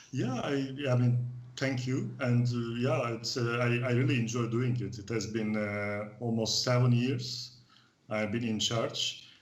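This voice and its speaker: In a room with audible echo and noticeable background noise, a man speaks fairly slowly at a medium pitch in a monotone, flat intonation. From Turkey. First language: Turkish. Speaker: expat club organizer. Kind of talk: casual interview. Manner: halting.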